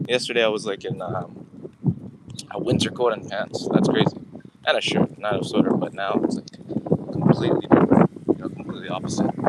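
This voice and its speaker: With a Canadian accent, a man talks at a fairly quick pace, broken by long, frequent pauses, over noticeable background noise. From Canada. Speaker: founder live streamer. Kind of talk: casual live stream chat. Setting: outdoors.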